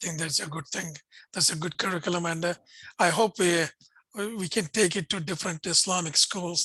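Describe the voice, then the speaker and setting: A man's high, bright, sharp voice with a Pakistani accent, at a fairly quick pace with monotone, flat intonation and a quiet background. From India, Bangalore. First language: Urdu. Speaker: interfaith think tank director and host. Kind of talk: video interview conversation.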